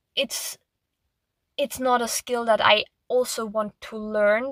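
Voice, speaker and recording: With a non-native accent, the speaker talks fairly slowly in a monotone, flat intonation, the sound dry and close with no echo. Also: woman. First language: not English. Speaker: artist. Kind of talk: casual monologue. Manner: halting.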